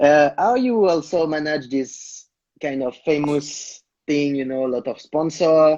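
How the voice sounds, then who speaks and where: A man with a non-native accent and a fairly high voice speaks at a moderate pace with lively intonation. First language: not English. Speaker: interviewer. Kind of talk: interview. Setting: Instagram live video call.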